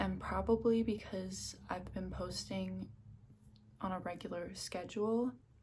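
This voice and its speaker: A woman talks at a very slow pace. She is soft-spoken, with a relaxed tone. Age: 20s. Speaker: ASMR creator. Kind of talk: ASMR Q&A to camera. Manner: soft-spoken, relaxed.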